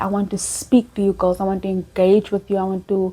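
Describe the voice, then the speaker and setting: Somewhat breathy, a woman speaks at medium pitch with a dark, mellow tone and monotone, flat intonation. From South Africa, Cape Town. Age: 20s. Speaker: faith and dating content creator. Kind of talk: casual chat. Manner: calm.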